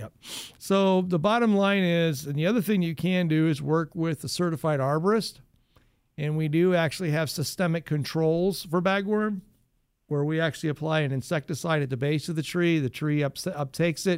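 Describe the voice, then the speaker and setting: A man talks at a moderate pace in a normal speaking voice, fairly high in pitch with ordinary pitch variation. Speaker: radio gardening show host. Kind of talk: call-in radio advice show, friendly expert talk.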